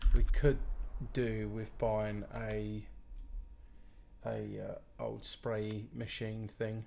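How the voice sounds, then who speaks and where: With a British accent, a man speaks at a very slow pace, taking long, frequent pauses, his loudness swinging widely amid audible room echo. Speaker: gaming streamer. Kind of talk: live gameplay commentary. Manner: casual, rambling.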